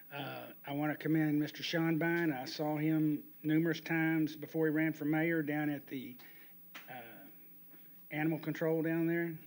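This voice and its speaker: This man has a fairly high pitch and a Texan accent. His intonation is monotone and flat, at a moderate pace. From Pasadena, Texas (Houston area). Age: 60s. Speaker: resident speaking at public comment. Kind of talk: public comment at council meeting. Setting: city council chamber. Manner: halting, with fillers.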